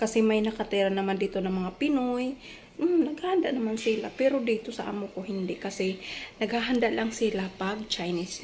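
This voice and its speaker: The speaker uses lively intonation at a moderate pace. Noticeable background noise is present. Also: woman. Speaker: domestic helper vlogger. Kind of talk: casual cooking vlog. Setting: employer's home in Singapore. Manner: soft-spoken.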